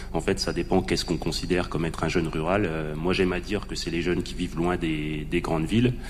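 In a room with audible echo and noticeable background noise, a man with a very deep, low pitch and ordinary pitch variation speaks at a very fast pace with hardly any pauses. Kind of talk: panel discussion.

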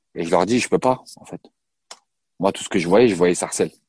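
There is no echo in this dry, close sound of a man speaking with lively intonation. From Paris region, France. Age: 30s. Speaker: former professional basketball player. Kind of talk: interview testimony. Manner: halting, many hesitations.

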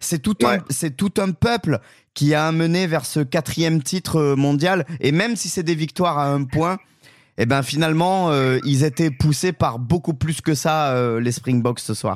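Recorded very cleanly over a silent background, a man talks at a fairly slow pace. His pitch is fairly high, with ordinary variation. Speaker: podcast host and presenter. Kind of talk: news reading, press review read out briskly in a broadcast newsreader style. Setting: studio.

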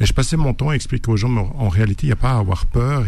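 Man at fairly low pitch with ordinary pitch variation, audible room echo. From Switzerland. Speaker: novelist and author. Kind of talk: radio interview. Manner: halting, with many repetitions.

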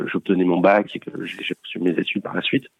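This man has a very deep, low pitch. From France, Paris region. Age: 40s. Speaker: bank co-founder. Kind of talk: interview. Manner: halting, many repetitions.

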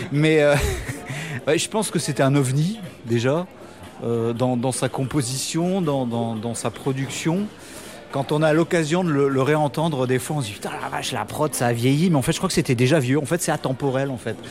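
Over noticeable background noise, a man speaks at a moderate pace and a fairly high pitch, with ordinary pitch variation. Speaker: rock band musician. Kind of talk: radio interview. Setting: café in Paris. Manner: halting.

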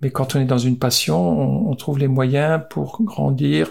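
Pitch swings very widely while the words come out at a very slow pace. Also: man. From Alsace, France. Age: 60s. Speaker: former footballer. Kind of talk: interview. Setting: on location.

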